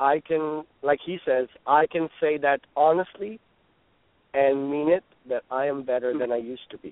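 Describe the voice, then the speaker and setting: At a moderate pace, a man talks in an unremarkable speaking voice, fairly high in pitch with ordinary pitch variation. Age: 30s. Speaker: author and inspirational speaker. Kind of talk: radio interview.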